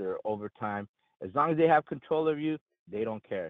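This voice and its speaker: A man talks at a fairly quick pace with lively intonation. His is an ordinary speaking voice. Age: 40s. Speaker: union member caller. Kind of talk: call-in.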